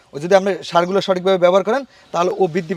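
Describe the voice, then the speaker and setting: A man with a high pitch is heard in a dry, close sound with no echo, against noticeable background noise. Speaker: grass farmer and cutting seller. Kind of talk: casual on-site interview.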